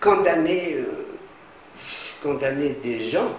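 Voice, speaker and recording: A man talks with lively intonation amid noticeable background noise and audible room echo. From Tunisia. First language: Arabic (speaking French). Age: 70s. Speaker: political activist, former UN expert. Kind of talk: interview. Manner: halting, many hesitations and repetitions.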